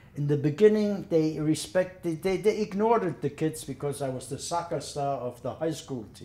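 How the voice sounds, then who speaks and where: A man with a dark, mellow tone and fairly high pitch speaks at a moderate pace with ordinary pitch variation. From Germany. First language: German. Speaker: war veteran. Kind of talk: testimony.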